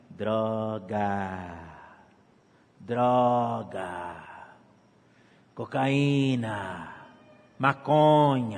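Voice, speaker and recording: A man puts on a character voice at medium pitch. He talks at a very slow pace with long, frequent pauses. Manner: tempting.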